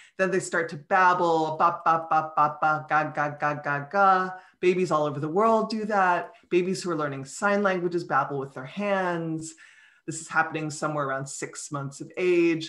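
Against a quiet background, a woman with a plain, everyday voice speaks at a moderate pace, her pitch fairly low and her intonation fairly even. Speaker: guest. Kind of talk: interview answer. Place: home room. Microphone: earbuds.

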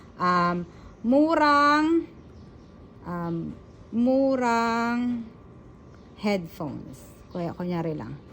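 The speech moves at a very slow pace with very wide pitch swings. Audible room echo surrounds it. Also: woman, fairly high pitch for a woman. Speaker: vlogger. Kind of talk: tutorial. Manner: halting.

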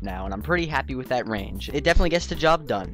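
A man speaks with music playing in the background. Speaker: gaming YouTuber. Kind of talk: casual gaming commentary and Q&A. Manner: upbeat.

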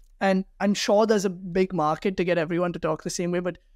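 Fairly quick and monotone, a man with a high pitch talks flatly in a dry recording with no echo and a quiet background. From India, Delhi. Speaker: startup founder; guest. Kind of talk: interview. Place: office. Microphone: webcam.

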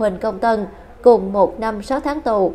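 At a moderate pace, the voice speaks with a dark, mellow tone. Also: woman. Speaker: news presenter. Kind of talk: news reading.

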